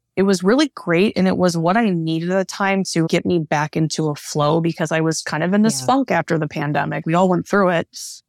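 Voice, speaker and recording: A woman with a Midwestern US accent talks at a fairly quick pace in a fairly low pitch, with fairly even intonation and a dry, close sound with no echo. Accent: General American, Midwestern. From US Midwest, Northeast Ohio. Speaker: Ayurvedic practitioner and yoga teacher. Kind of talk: interview, casual conversation.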